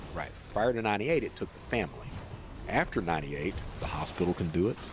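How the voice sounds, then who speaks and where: Words rush out at a very fast pace, the pitch swinging very widely up and down. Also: man, fairly low pitch for a man. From Eastern Kentucky. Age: 50s. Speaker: former fraudster telling his story. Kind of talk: long-form podcast interview. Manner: casual, matter-of-fact storytelling.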